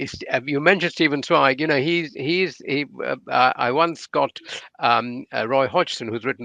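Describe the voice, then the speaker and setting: A man with a bright, sharp tone and vocal fry talks at a fairly quick pace with ordinary pitch variation, in a dry, close sound with no echo and a quiet background. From India. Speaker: non-fiction writer, interviewer. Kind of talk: interview at literary festival. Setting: online festival talk.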